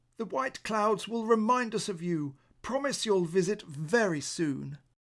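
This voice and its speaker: In a put-on character voice, a man talks at a moderate pace with a high pitch. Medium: read story. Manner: soft, dreamy.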